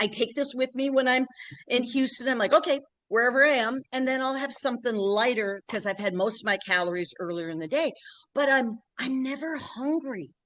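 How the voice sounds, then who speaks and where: A woman's high-pitched, animated voice with lively intonation at a fairly quick pace. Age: 60s. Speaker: fitness program client. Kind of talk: testimony.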